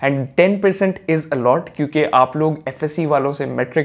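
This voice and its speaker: Noticeable background noise accompanies a man whose voice is pitched fairly high. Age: young. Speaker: student content creator. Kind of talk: casual explainer vlog.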